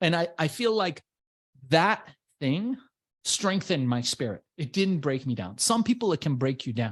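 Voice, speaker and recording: Animated in tone, a man with a fairly high pitch talks at a moderate pace with very wide pitch swings. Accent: Persian. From Iran, immigrated to US as a child. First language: Persian. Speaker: entrepreneur and business coach. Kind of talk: interview.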